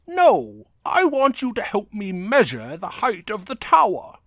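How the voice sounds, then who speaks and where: A man's high-pitched, put-on character voice at a fairly slow pace, with very wide pitch swings, in a very clean recording with a silent background. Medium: dub.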